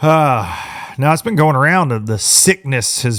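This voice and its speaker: A man with a Southern US accent speaks with lively intonation. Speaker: podcast host. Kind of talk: casual chat.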